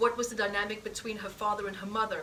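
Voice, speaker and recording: A woman with a fairly high pitch talks very fast in a monotone, flat delivery, with audible room echo and noticeable background noise. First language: not English. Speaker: healing practitioner and teacher. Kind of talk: live healing demonstration. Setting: stage with audience.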